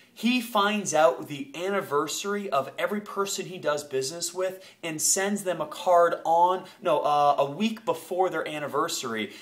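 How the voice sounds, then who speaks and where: A man's high voice with an American accent, ordinary pitch variation, a moderate pace and hardly any pauses, over noticeable background noise. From Maine, US (Ellsworth area). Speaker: marketing copywriter. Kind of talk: tutorial. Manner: hesitant, many fillers.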